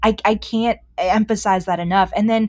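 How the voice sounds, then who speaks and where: Fairly even in intonation, a woman with an American accent speaks at a moderate pace in an unremarkable speaking voice. The recording is very clean, with a silent background. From Boston. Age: 20s. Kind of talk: casual chat.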